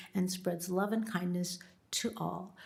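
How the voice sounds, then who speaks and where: A woman's somewhat breathy voice. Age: 70s. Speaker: public commenter, retired minister. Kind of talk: public comment at government meeting. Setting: county board meeting chamber.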